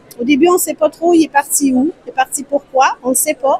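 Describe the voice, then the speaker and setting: At a moderate pace, a woman speaks with fairly even intonation over noticeable background noise. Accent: Quebec. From Quebec. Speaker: publishing house representative. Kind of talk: interview answer.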